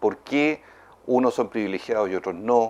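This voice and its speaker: A man is speaking at a moderate pace. His pitch variation is ordinary. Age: 60s. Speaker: politician. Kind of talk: interview.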